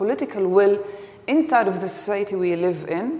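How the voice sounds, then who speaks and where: Against noticeable background noise and audible room echo, a woman talks at a fairly quick pace with lively intonation and medium pitch. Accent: Palestinian. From Israel, Galilee village (Palestinian citizen). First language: Arabic. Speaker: activist. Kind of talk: public talk. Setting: lecture hall with audience. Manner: halting.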